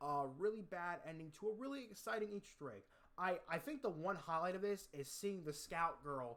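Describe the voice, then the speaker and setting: Lively intonation marks a man's fairly quick delivery. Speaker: zombies gaming youtuber. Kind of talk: casual gaming commentary, tier list ranking. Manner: fast.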